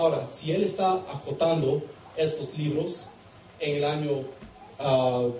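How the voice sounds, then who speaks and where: A man with a non-native accent speaks very slowly at a fairly high pitch, with fairly even intonation and long, frequent pauses, amid noticeable background noise and audible room echo. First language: English (speaking Spanish). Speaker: preacher. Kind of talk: sermon. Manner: halting.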